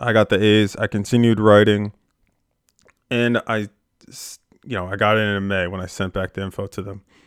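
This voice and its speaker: Over a very clean recording with a silent background, a man speaks at a fairly low pitch and a moderate pace, monotone and flat, with long, frequent pauses. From Pennsylvania, Philadelphia suburbs. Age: 20s. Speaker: sports reporter and podcast host. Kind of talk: casual podcast monologue. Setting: home podcast studio. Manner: casual with frequent fillers.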